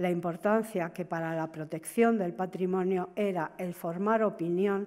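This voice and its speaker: A woman speaks at a fairly slow pace with a fairly low pitch, a dark, mellow tone and fairly even intonation. The background is quiet. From Spain. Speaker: museum deputy director; conference speaker. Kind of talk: conference talk. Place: hall.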